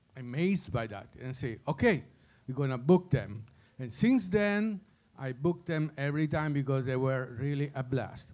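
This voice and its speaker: Against a silent background in a very clean recording, a man's pitch swings very widely. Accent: Italian. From Italy. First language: Italian. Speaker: former jazz club owner and saxophonist, award presenter. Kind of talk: award presentation speech. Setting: stage with audience. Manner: halting.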